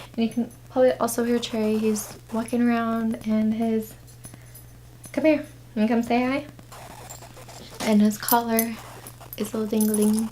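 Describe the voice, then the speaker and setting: Soft-spoken, a woman talks at a fairly high pitch in a monotone, flat intonation. Her pace is moderate, with long, frequent pauses. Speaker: vlogger and young mom. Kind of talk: story time vlog.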